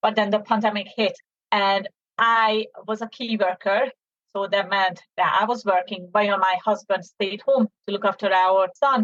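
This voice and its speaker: Speaking at a moderate pace with a Hungarian accent, a woman keeps a medium pitch and fairly even intonation. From Hungary, Debrecen. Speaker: business owner, mother. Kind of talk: interview.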